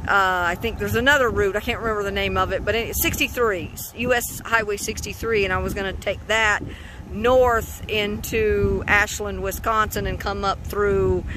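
Speech at a moderate pace sounds dry with no echo, though noticeable background noise is present. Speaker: car-living road-trip vlogger. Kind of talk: casual vlog chat. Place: open country. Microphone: phone near.

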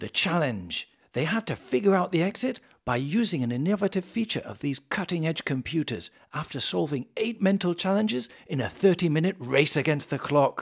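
A man with a British accent talks at a moderate pace, with a fairly high pitch and lively intonation. The background is quiet. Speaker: voice actor. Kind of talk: corporate case-study narration. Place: studio.

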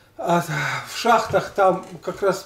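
Here a man speaks with fairly even intonation. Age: 60s. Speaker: former weightlifter and health vlogger. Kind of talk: casual monologue of reminiscences. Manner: halting, with many fillers.

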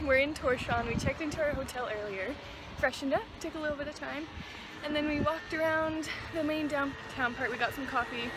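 The voice is raised and projected, moving at a moderate pace with ordinary pitch variation. The sound is dry with no echo, though there is noticeable background noise. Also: woman. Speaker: travel vlogger. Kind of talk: casual vlog chat. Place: waterside. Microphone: phone near.

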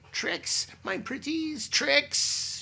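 A man cackles in a put-on character voice pitched extremely high. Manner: cackling.

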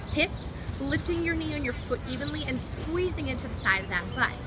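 Loud noise sits in the background. Over it, a woman speaks at a moderate pace. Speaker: fitness instructor. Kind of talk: guided workout instruction. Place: garden.

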